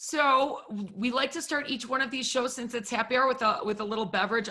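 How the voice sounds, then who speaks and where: Ordinary pitch variation in a woman's bright, sharp tone. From Wisconsin, US Midwest. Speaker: talk show host. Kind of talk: casual interview chat.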